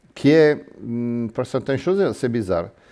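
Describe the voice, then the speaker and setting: Very slowly, a man with an Italian accent speaks in a dark, mellow tone. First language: Italian (speaking French). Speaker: miniature figure painter. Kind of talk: workshop demonstration. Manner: halting.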